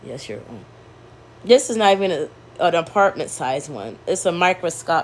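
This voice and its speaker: A woman's medium-pitched voice carries vocal fry and very wide pitch swings. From US, Maryland. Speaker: vlogger. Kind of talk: casual monologue vlog. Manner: rambling, fast.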